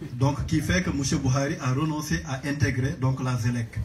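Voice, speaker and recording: A man with a medium pitch speaks at a very slow pace, his pitch varying in an ordinary way, amid audible room echo. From Senegal. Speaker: audience member asking a question. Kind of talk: question at a public Q&A. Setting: book launch event with audience.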